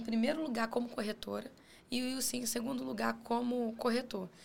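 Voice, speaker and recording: Speaking at a moderate pace, a woman has a plain, everyday voice and a fairly high pitch. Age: 30s. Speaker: real estate broker. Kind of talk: podcast interview.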